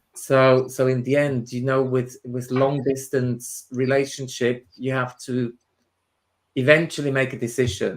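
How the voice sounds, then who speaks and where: A fairly slow, monotone, flat delivery in a Swiss German accent. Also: man, medium pitch for a man. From Switzerland, Swiss German part. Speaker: spiritual medium and tutor. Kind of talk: interview chat. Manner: halting, many repetitions.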